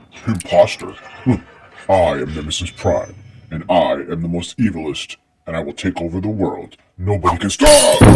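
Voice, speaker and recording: With faint music in the background, a man uses a put-on character voice at a very deep, low pitch. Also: moderate pace. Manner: menacing, villainous.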